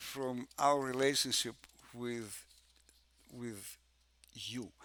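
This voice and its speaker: A man speaks very slowly with a Russian accent. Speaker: music theory professor. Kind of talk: conference presentation. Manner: halting, many fillers and repetitions.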